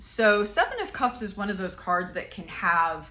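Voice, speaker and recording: Over audible room echo, a woman with a bright, sharp tone speaks at a fairly slow pace with lively intonation. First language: Spanish. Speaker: tarot reader. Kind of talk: tarot reading monologue. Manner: casual, hesitant with many fillers.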